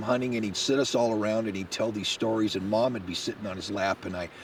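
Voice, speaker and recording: A man's fairly quick speech comes through with noticeable noise behind it. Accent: American. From Washington state. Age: 60s. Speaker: hunting guide. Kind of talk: interview testimony. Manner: casual, conversational.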